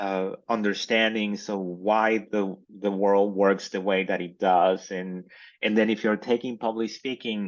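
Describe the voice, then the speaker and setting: A man with a Mexican accent speaks at a fairly low pitch and a fairly slow pace. His intonation is monotone and flat, over a quiet background. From Mexico. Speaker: communications professor. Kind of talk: interview. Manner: halting, many fillers.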